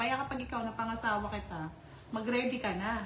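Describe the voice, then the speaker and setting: Amid noticeable background noise and audible room echo, a woman talks fairly quickly at a fairly high pitch. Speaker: livestream host of card games. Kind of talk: casual livestream chat with winner announcements. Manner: loud.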